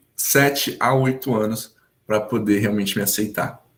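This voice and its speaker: A man speaks with ordinary pitch variation. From São Paulo state, Brazil (Hortolândia). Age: 20s. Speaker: English teacher sharing personal story. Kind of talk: testimony.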